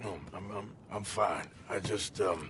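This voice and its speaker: Over clear background noise, a man puts on a raspy character voice at a fairly slow pace. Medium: video game. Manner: gruff, terse, drawling.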